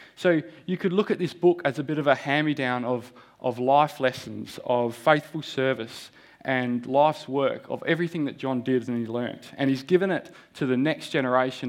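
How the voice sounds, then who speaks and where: A man with an Australian accent, medium pitch, ordinary pitch variation and a fairly quick pace. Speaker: lay preacher. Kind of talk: sermon. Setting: church. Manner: halting.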